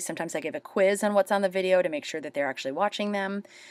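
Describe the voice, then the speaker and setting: A woman talks at a very fast pace and medium pitch with lively intonation, in a dry, close sound with no echo on a very clean recording with a silent background. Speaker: teacher. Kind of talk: screencast tutorial. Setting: screen recording.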